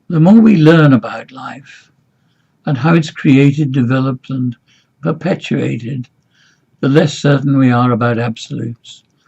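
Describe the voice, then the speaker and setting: A man's dark, mellow, somewhat breathy voice, fairly high in pitch, at a moderate pace with ordinary pitch variation and long, frequent pauses. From from overseas, not Singapore. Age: 80s+. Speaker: business mentor. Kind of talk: scripted monologue.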